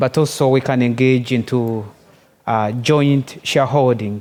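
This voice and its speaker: A man with a Ugandan accent speaks at a moderate pace. His intonation stays fairly even. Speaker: development corporation manager. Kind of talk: conference pitch presentation.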